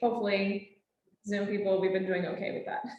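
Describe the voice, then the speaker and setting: A woman is speaking. The room echo is audible. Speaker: naturalist trainer. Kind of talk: lecture. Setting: classroom with Zoom audience. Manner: animated.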